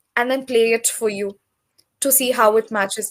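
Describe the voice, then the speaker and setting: A woman with a Telugu accent talks in a high pitch with fairly even intonation. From South India, Tamil. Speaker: English tutor. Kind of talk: casual conversation practice.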